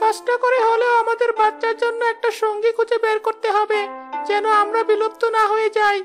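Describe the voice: Clear music plays in the background as a cartoonish character voice talks at a moderate pace.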